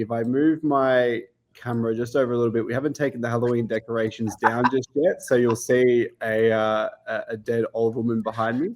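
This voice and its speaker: A man with an Australian accent, medium pitch and fairly even intonation, hardly any pauses. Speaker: sports betting analytics staff. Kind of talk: casual explanation / podcast guest demo. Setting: video call from home kitchen.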